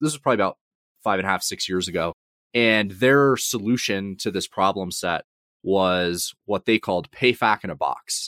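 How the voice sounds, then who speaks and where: A plain, everyday voice from a man with an American accent, fairly low pitch, ordinary pitch variation and a fairly quick pace, on a very clean recording with a silent background. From US South, Georgia (Atlanta suburbs). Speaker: fintech founder and CEO. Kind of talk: interview.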